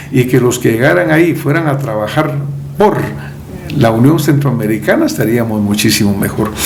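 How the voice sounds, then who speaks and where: Noticeable background noise and audible room echo surround a man who talks at a moderate pace with ordinary pitch variation. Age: 70s. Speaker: presidential candidate. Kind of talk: interview.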